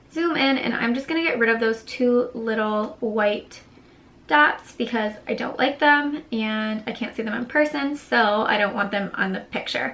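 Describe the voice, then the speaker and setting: A woman's plain, everyday voice, fairly high in pitch, with ordinary pitch variation at a moderate pace. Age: 20s. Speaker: beauty vlogger. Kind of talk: tutorial. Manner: casual.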